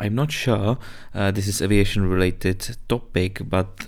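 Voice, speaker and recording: This man has a fairly low voice and a Czech accent. He talks at a moderate pace. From Czech Republic. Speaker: aviation podcaster and pilot. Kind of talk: solo podcast monologue. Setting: man cave bunker, home recording. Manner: halting, with fillers and self-corrections.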